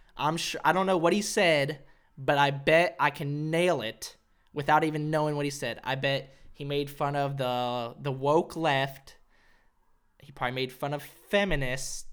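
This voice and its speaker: A man with a normal speaking voice and an American accent, fairly high-pitched, at a moderate pace, with fairly even intonation and big swings in loudness. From Arkansas, US South. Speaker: comedian podcaster. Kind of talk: casual solo podcast monologue. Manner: casual, self-deprecating, profane.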